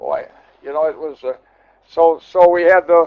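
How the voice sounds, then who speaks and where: A man's high-pitched voice with an American accent. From Milwaukee, Wisconsin. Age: 80s+. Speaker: car collector. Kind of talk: guided tour. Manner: halting, many repetitions.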